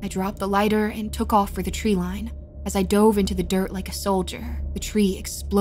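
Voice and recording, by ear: A natural voice reading something out loud.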